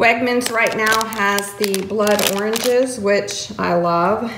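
Very slow speech comes from a woman with ordinary pitch variation. Noticeable background noise is present. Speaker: home vlogger. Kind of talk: casual vlog chat. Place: kitchen. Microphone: phone near.

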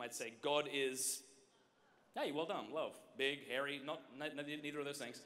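Here a man talks at a moderate pace. He has an Australian accent. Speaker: speaker. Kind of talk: conference workshop talk to youth. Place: stage. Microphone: handheld.

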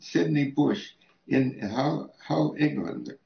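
With vocal fry and audible room echo, a man speaks at a very slow pace. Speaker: interviewee. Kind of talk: interview answer. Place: home room.

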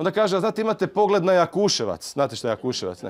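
A man's high-pitched voice with lively intonation. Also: quiet background. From Croatia, Zagreb. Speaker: preacher. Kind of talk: sermon. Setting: church. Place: church. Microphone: handheld.

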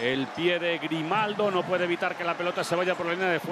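There is noticeable background noise as a man talks at a fairly quick pace. His voice is high in pitch. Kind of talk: live sports commentary. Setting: stadium broadcast. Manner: fast, excitable, shouting goal calls; rapid-fire play-by-play, breathless.

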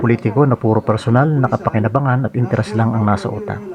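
Fairly quick speech comes through over noticeable background noise. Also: man. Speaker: political commentary vlogger. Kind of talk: scripted monologue commentary.

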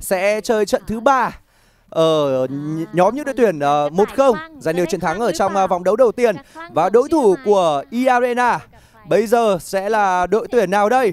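At a fairly slow pace, a man with a high pitch speaks with lively intonation in a dry sound with no echo over light background noise. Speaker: esports commentator. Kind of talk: live commentary. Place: studio. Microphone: headset.

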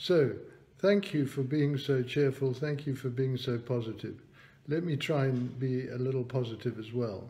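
Speaking with a British accent, a man uses a medium pitch, ordinary pitch variation and a dark, mellow tone at a moderate pace, sounding somewhat breathy. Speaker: economist and business chairman. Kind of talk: online talk with Q&A. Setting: video call.

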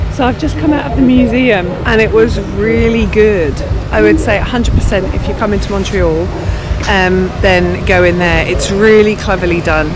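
Over music in the background, a woman speaks at a moderate pace in a dry sound with no echo. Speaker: travel vlogger. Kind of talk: walking tour commentary. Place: street. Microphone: phone near.

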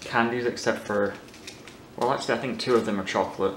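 A man's fairly quick speech in audible room echo with light background noise. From Ireland and the UK. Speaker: YouTuber, food taster; YouTuber. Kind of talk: casual vlog, taste test. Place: home room.

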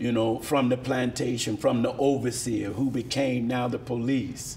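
A man talks at a fairly slow pace. Light background noise can be heard. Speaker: guest. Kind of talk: interview answer. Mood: earnest, measured. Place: studio.

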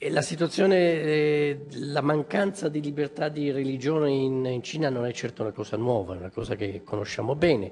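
A man's fairly slow speech with ordinary pitch variation over light background noise. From Italy. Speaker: member of parliament; speaker, politician. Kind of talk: formal speech. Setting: press conference in parliament. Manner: hesitant, many fillers. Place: hall. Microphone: podium.

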